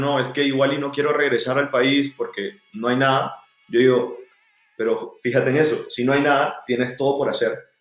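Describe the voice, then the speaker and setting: Music in the background behind a man's fairly high, monotone, flat voice at a moderate pace. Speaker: university student club founder. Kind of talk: casual interview.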